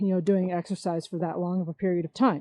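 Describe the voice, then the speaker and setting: The tone is dark and mellow, with an American accent. The sound is dry and close, with no echo. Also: woman. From US Midwest, Chicago. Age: 30s. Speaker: podcast host. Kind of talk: casual monologue. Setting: outdoors, walking in a park. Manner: halting, many fillers.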